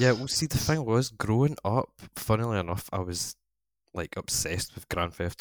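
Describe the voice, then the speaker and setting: In a Scottish accent, a man talks at a moderate pace, the sound dry and close with no echo on a very clean recording with a silent background. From Scotland. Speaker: online gaming community organiser. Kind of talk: casual chat.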